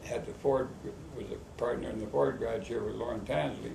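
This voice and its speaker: A man speaks fairly quickly in a western Canadian accent. Noticeable background noise and audible room echo surround him. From Canada, Medicine Hat, Alberta. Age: 80s+. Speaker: rodeo board member. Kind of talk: interview.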